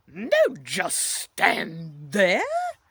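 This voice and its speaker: A gruff, growling put-on character voice sits at a fairly high pitch. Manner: growling, gruff.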